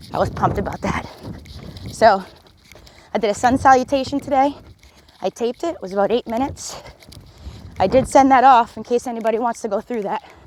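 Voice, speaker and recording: A woman's upbeat, very fast speech with a fairly high pitch, ordinary pitch variation, big swings in loudness, long, frequent pauses and noticeable background noise. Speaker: fitness instructor. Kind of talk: workout coaching while jogging. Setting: outdoors. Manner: encouraging, upbeat.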